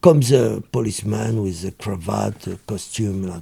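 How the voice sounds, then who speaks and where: A man's dark, mellow tone carries a French accent. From France. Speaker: former criminal telling life story. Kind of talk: interview storytelling.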